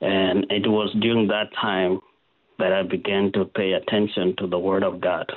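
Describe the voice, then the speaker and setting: The voice moves at a moderate pace. Its intonation stays monotone and flat. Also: man, fairly low pitch for a man, very even loudness. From South Sudan. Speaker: ministry founder. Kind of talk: testimony. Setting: radio studio.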